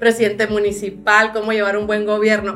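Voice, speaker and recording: A woman's fairly high voice at a moderate pace. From northern Sinaloa, Mexico. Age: 30s. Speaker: party leader and politician. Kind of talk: interview.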